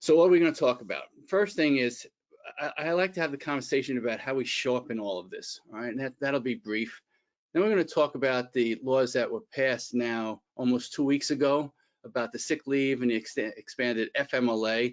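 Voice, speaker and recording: At a fairly quick pace, a man talks with a Bronx accent. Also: medium pitch for a man, ordinary pitch variation. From New York, the Bronx. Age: 60s. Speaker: employment attorney and executive coach. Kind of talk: webinar presentation. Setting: online webinar.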